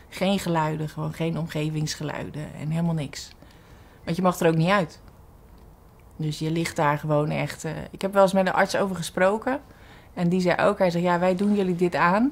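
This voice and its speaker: A woman speaks at a moderate pace in a fairly low voice, with ordinary pitch variation. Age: 40s. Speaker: cancer patient. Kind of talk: testimony. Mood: reflective, somewhat emotional. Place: studio.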